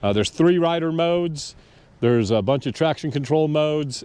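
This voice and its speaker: This is an unremarkable speaking voice from a man. He keeps a moderate pace with lively intonation. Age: 60s. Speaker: motorcycle vlogger. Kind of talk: casual product review to camera. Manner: casual, many fillers.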